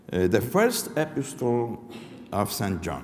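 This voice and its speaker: With a Polish accent, a man at medium pitch speaks fairly slowly, his pitch swinging very widely, and the room echo is audible. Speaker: professor. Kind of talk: lecture read from text. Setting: academic forum. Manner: halting, reading aloud.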